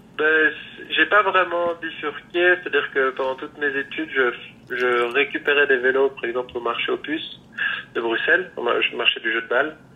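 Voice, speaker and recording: A man's moderately paced speech is heard with noticeable background noise behind it. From rural France. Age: 30s. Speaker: bicycle frame builder. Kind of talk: interview. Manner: halting.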